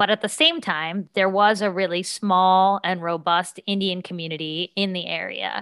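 An ordinary speaking voice carries an American accent. It moves at a moderate pace with hardly any pauses. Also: woman, medium pitch for a woman, fairly even intonation. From US South, southern West Virginia. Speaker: author and middle school teacher. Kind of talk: interview.

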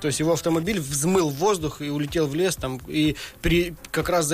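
Noticeable background noise accompanies a man's voice. He speaks at a fairly high pitch with ordinary pitch variation. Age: 30s. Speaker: professional drift racer. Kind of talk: podcast interview. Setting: studio.

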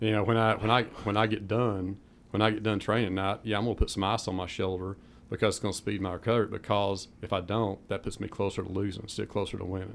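A man with a Southern US accent speaks very fast in a fairly low voice, with monotone, flat intonation. The recording is very clean, with a silent background. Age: 50s. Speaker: powerlifter. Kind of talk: radio interview. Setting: radio studio.

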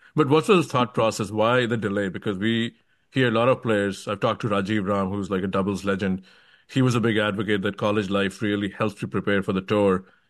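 At a fairly quick pace, the voice comes with an Indian accent. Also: man. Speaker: tennis podcast host. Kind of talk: interview.

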